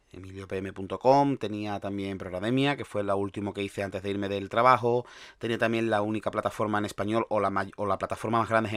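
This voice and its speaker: Over a very clean recording with a silent background, a man talks at a very fast pace in a fairly low voice with fairly even intonation. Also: dry, close sound with no echo. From Andalusia, Spain. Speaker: podcast host, sysadmin. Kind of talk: solo podcast monologue. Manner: talkative, many fillers and restarts.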